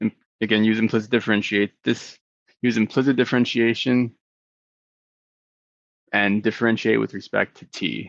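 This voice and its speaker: A man mumbles in a put-on character voice at a medium pitch, his delivery monotone and flat. His loudness swings widely at a moderate pace with long, frequent pauses, and the sound is dry and close with no echo. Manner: mumbling, hesitant.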